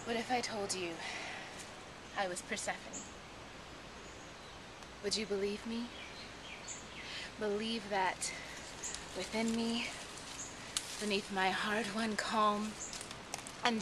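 A woman's fairly high, monotone, flat voice at a very slow pace, with long, frequent pauses and noticeable background noise. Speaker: poet. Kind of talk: spoken word poetry performance. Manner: ecstatic, impassioned. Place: forest. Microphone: phone near.

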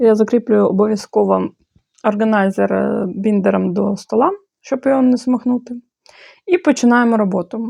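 A woman with a Bulgarian accent, fairly high pitch, a dark and mellow tone and ordinary pitch variation, at a moderate pace with long, frequent pauses, in a dry, close sound with no echo. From Moldova. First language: Bulgarian (speaking Ukrainian). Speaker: handicraft blogger. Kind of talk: opinion monologue; tutorial.

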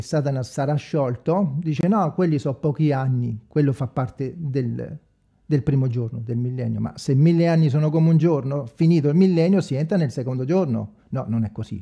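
A man speaks at a moderate pace in a fairly high pitch with ordinary variation. His dark, mellow tone is somewhat breathy, and the background is quiet. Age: 40s. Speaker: evangelical preacher, online video maker; religious channel host. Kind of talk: improvised livestream monologue. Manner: halting, many fillers. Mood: earnest, somewhat defensive. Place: home room. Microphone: studio mic.

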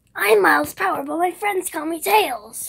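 In a put-on character voice, a woman sounds raspy and extremely high-pitched at a moderate pace.

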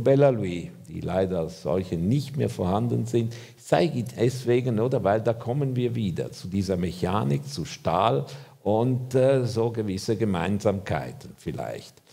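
A man with a fairly low pitch and a dark, mellow tone speaks at a fairly slow pace with vocal fry. His intonation is lively, and the background is quiet. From Switzerland. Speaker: architect; lecturer. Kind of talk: lecture. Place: hall.

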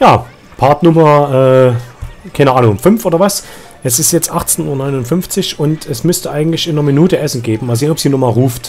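A man talks at a fairly quick pace with ordinary pitch variation and a fairly high pitch. Music plays in the background. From Saxony. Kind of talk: let's play gaming commentary. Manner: casual, chatty.

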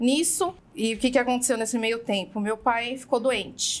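The pitch of this woman's voice is high. She talks fairly slowly. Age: 30s. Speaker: burger restaurant owner. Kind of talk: interview conversation.

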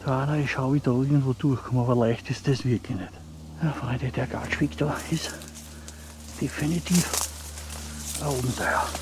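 The speech moves at a moderate pace with very wide pitch swings. Noticeable background noise is present. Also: man, medium pitch for a man. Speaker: outdoor vlogger. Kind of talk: walking vlog narration. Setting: outdoors in a forest.

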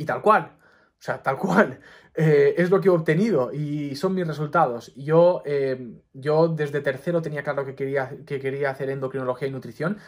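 A man's fairly high, plain, everyday voice at a moderate pace, with ordinary pitch variation and a very clean recording over a silent background. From Mallorca, Spain. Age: 20s. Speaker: doctor and YouTuber. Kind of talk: personal advice monologue to camera.

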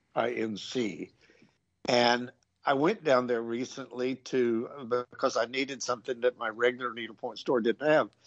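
Here a man speaks in a medium pitch. His intonation is fairly even. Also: moderate pace. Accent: Southern US. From small-town North Carolina, US South. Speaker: needlepoint designer. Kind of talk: casual interview chat.

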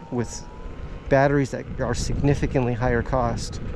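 A man is heard with light background noise and a dry sound with no echo. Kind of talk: casual vlog chat. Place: street.

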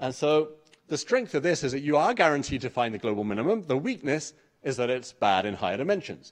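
A man with an English accent, fairly high in pitch, at a very fast pace with very wide pitch swings, over a quiet background. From England. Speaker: mathematics researcher. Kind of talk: conference talk. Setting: stage with audience. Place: hall.

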